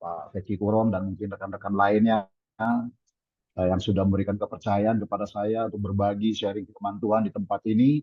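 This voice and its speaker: This man speaks with a fairly low pitch. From Indonesia, Balikpapan, East Kalimantan. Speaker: pastor. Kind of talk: sermon. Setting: video call. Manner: halting.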